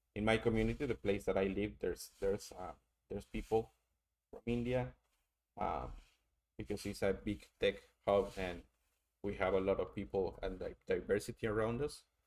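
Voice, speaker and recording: A man speaks with a strong Mexican accent at a moderate pace. He leaves long, frequent pauses. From Mexico. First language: Spanish. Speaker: streamer doing tarot readings. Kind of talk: casual live-stream chat. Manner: halting, many fillers and repeats.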